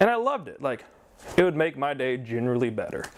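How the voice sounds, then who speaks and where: A fairly high-pitched man with lively intonation. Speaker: vlogger, comic fan. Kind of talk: casual vlog monologue. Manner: mumbling.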